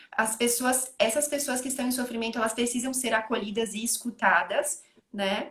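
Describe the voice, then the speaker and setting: A woman's high-pitched voice with a southern Brazilian accent, fairly even intonation and a moderate pace. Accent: gaúcho (southern Brazilian). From Rio Grande do Sul, Brazil. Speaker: psychologist. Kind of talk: online panel conversation. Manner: hesitant, many fillers.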